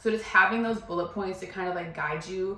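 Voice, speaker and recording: A woman mumbles at a fairly quick pace with a fairly low pitch and fairly even intonation, amid noticeable background noise and audible room echo. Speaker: YouTuber giving career advice. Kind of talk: casual vlog tutorial. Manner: fast, mumbling.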